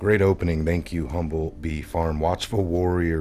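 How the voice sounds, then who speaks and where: With music in the background, a man with a very deep, low pitch speaks in fairly even intonation. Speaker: livestream political talk show host. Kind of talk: casual live stream chat. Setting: studio. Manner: loud.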